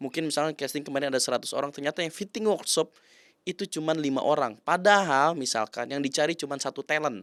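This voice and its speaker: In a very clean recording with a silent background and a dry, close sound with no echo, a man talks at a very fast pace in a shrill voice of fairly high pitch. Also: ordinary pitch variation. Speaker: commercial actor. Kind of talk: interview. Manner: casual.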